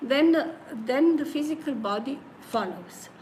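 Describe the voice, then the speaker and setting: There's noticeable background noise and audible room echo as a woman talks with a high pitch and lively intonation. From Slovenia. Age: 70s. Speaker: spiritual singing teacher. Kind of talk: interview. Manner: halting.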